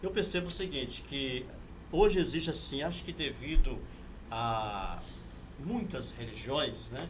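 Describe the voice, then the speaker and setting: There's audible room echo and noticeable background noise around a man with a fairly high voice. He speaks at a fairly slow pace with lively intonation. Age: 50s. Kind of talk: interview.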